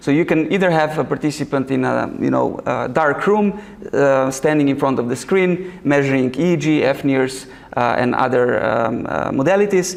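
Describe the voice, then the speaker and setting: With a Slovenian accent, a man speaks at a moderate pace and very even loudness in a room with audible echo. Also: fairly high pitch for a man, ordinary pitch variation. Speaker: researcher and summer school organizer. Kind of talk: lecture. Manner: halting, many fillers.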